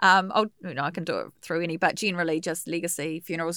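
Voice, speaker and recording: A woman with a New Zealand accent talks at a very fast pace. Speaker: radio host and funeral celebrant. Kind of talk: casual interview chat. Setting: radio studio.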